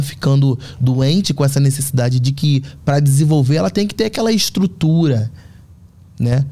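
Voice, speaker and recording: A man's fairly high, somewhat breathy voice with a dark, mellow tone at a moderate pace. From Rio de Janeiro, north zone. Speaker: fashion artist and communicator. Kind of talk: interview conversation.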